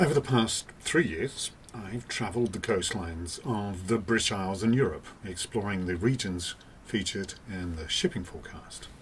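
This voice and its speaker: A man speaks in a fairly low voice with hardly any pauses and ordinary pitch variation. Noticeable background noise is present. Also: moderate pace. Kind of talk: documentary narration.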